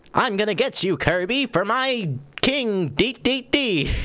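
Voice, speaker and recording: A man puts on a character voice, high in pitch, and speaks at a fairly slow pace. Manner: scheming, threatening.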